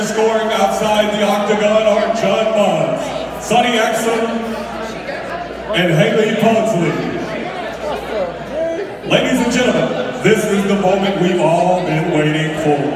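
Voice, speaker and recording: Loud background noise and audible room echo surround a man's voice. He speaks at a fairly slow pace with long, frequent pauses. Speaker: MMA ring announcer. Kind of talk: ring announcement, fight introductions. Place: hall.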